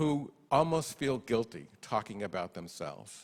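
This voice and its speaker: Lively intonation with an American accent, on a very clean recording with a silent background. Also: man. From New York. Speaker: researcher and professor. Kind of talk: conference talk. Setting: stage with audience. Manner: animated.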